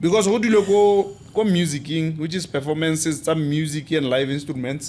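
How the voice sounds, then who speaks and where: A man with a Botswana accent, fairly high pitch, ordinary pitch variation and a moderate pace. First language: Setswana. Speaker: podcast host. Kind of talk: casual interview chat.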